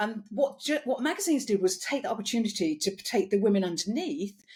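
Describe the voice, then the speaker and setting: Fairly high-pitched and somewhat breathy, a woman speaks at a fairly quick pace with very wide pitch swings. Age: 60s. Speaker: beauty business founder. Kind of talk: interview.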